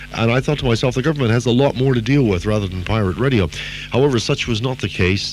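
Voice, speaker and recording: Amid noticeable background noise, a man talks at a very fast pace with a medium pitch and ordinary pitch variation. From Canada. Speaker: radio DJ. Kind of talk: interview answer.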